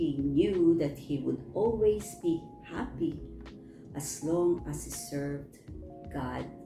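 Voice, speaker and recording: Music runs in the background while a woman talks very slowly. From Philippines. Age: old. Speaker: storyteller. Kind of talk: bible story reading.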